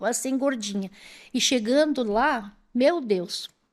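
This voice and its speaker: A woman at a very slow pace, her pitch swinging very widely. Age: 60s. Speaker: retired police clerk and former teacher. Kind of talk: interview storytelling. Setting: studio.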